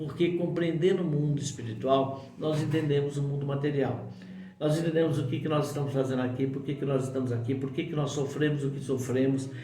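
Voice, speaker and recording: The delivery is monotone and flat at a fairly quick pace. Noticeable background noise and audible room echo fill the recording. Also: man, fairly high pitch for a man. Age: 60s. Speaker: spiritual teacher. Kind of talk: spiritual talk to camera. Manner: informal, conversational with fillers.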